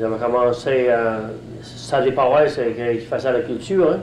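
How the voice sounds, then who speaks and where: Audible room echo and noticeable background noise surround a man speaking with a rural Gaspésie accent. His pitch is medium and his intonation fairly even, at a moderate pace. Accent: rural Gaspésie Quebec French. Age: 70s. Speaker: retired fisherman. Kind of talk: oral history interview. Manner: halting, many hesitations.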